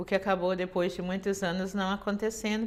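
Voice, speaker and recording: A woman is speaking. Her pitch is medium. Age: 60s. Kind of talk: testimony. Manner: halting, many fillers.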